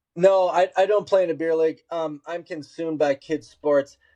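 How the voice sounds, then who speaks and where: With an Upper Midwest accent, a man speaks at a moderate pace in a dark, mellow tone, the sound dry and close with no echo. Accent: Upper Midwest American. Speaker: podcast host. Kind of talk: casual chat.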